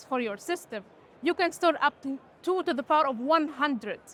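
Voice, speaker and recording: Her voice is high-pitched with a bright, sharp tone, and this woman uses ordinary pitch variation. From Tunisia. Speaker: quantum computing researcher and startup founder. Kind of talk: interview. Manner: halting, many fillers and restarts.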